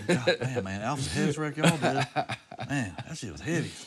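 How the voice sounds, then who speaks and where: Over noticeable background noise, a man with an American accent speaks at medium pitch and a fairly quick pace in an animated tone, with very wide pitch swings and big swings in loudness. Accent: Southern US redneck. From Virginia. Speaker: rock musician. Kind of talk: casual chat.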